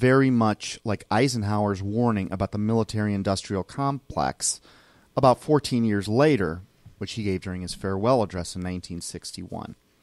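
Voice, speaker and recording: Talking at a fairly quick pace, a man with a fairly low pitch comes through in a very clean recording with a silent background and a dry, close sound with no echo. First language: Spanish. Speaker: podcast host. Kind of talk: casual chat.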